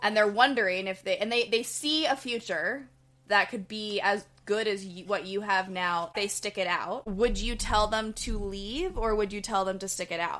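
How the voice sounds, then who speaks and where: A woman talks at a moderate pace and medium pitch with a bright, sharp tone on a very clean recording with a silent background. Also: ordinary pitch variation. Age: 30s. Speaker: podcast co-host, therapist. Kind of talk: casual chat.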